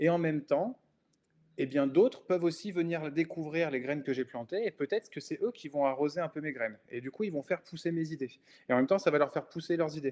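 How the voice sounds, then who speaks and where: Dry and close with no echo, a man's fairly high voice moves at a fairly quick pace. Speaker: podcast host and independent designer. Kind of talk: solo podcast monologue. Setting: browser recording. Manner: spontaneous, many hesitations.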